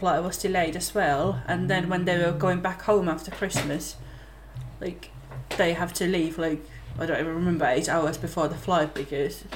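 In a Finnish accent, a woman speaks at a fairly low pitch and a moderate pace, in a monotone, flat intonation, over noticeable background noise. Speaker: podcast host. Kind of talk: casual chat.

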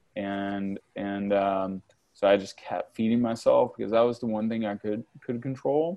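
Fairly low in pitch, a man talks in an unremarkable speaking voice with fairly even intonation. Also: moderate pace. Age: 40s. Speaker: entrepreneur and business mentor. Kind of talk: interview. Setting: video call.

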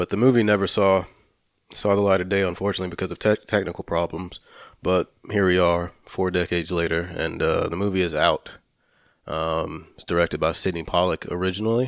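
At a fairly quick pace, a man with a very deep, low pitch is heard in a dry, close sound with no echo, on a very clean recording with a silent background. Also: fairly even intonation. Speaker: film podcast co-host. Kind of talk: casual chat. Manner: hesitant, filler-heavy.

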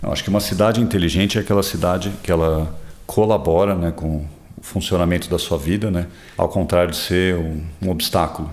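Fairly even in intonation, a man talks at a fairly quick pace with a very deep, low pitch. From São Paulo, Brazil. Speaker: interviewee, city resident. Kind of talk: interview.

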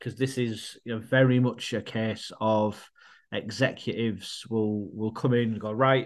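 A man speaks with a northern English accent at a moderate pace. His medium-pitched voice stays monotone and flat. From northern England. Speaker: podcast co-host. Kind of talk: casual chat.

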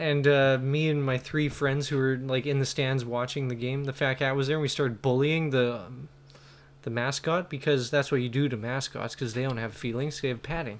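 A man's ordinary speaking voice, medium in pitch, at a fairly quick pace with fairly even intonation. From Kelowna, Canada. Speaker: comedian, podcast co-host. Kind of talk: casual chat.

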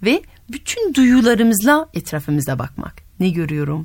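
A woman with a French accent talks at a fairly slow pace in a somewhat breathy voice, her pitch swinging very widely. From France. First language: French (speaking Turkish). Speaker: radio host and storyteller. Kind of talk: casual interview with children; storytelling.

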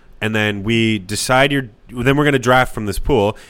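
Here is a man with an unremarkable speaking voice, medium in pitch and fairly even in intonation. The recording is very clean, with a silent background. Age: 20s. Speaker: podcast co-host. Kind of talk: casual chat. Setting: home kitchen studio.

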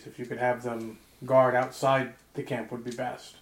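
Putting on a character voice, a man speaks at a medium pitch and a moderate pace with monotone, flat intonation. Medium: actual play. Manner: formal, measured.

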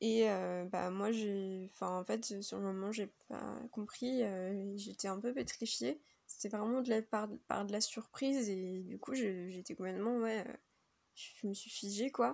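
Pitch variation here is ordinary. The delivery is very slow. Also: woman, medium pitch for a woman. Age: 20s. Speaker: contributor sharing testimony. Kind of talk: recorded testimony.

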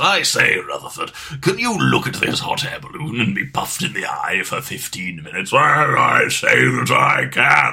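A man puts on a character voice, keeping a moderate pace with hardly any pauses. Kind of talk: posh, old-fashioned. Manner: playful, fun.

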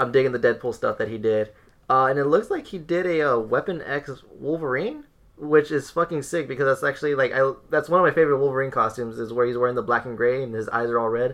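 Against a quiet background, a man talks at a very fast pace and a medium pitch with ordinary pitch variation. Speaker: podcast co-host. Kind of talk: casual chat.

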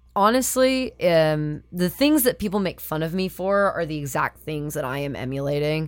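A woman with a plain, everyday voice speaks at a fairly low pitch with lively intonation. She keeps a moderate pace with hardly any pauses, on a very clean recording with a silent background. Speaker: puppy play community organizer. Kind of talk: casual chat.

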